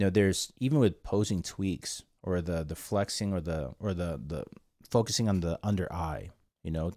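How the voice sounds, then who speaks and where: On a very clean recording with a silent background, a man with a very deep, low voice and a dark, mellow tone speaks at a moderate pace with ordinary pitch variation. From South Korea. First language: Korean. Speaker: podcast host and photographer. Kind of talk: casual chat.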